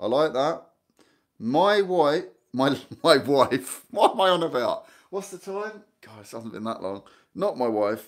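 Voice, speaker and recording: A man speaks at a fairly slow pace in a fairly high pitch, his loudness swinging widely and his pitch ranging very widely, with long, frequent pauses against a quiet background. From Guernsey. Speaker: YouTuber about island life; channel host. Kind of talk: live stream chat with viewers. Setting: live stream from home lounge. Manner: chatty, rambling with many fillers. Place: home room. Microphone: phone near.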